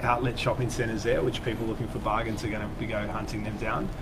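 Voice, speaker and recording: Noticeable background noise behind a man with an Australian accent at a fairly quick pace. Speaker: travel company staff. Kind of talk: casual chat. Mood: relaxed, friendly. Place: studio. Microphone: lapel.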